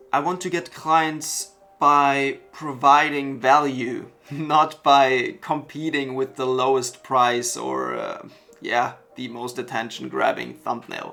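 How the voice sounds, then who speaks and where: A man speaks at a fairly slow pace as music plays behind him. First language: German. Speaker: web designer, freelancer. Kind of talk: talking-head vlog.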